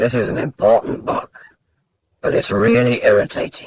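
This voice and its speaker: At a moderate pace, a man uses a raspy, put-on character voice. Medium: read story. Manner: cryptic, knowing.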